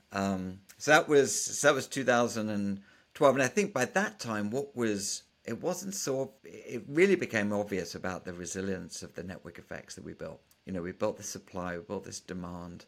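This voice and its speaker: A man with a British accent talks at a fairly low pitch with lively intonation. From England. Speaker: startup founder and venture capitalist. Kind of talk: interview.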